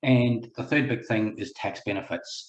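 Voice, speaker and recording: The voice is somewhat breathy, with a New Zealand accent. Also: man. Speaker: buyer's agent, property investor. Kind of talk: webinar presentation. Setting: online webinar, video call.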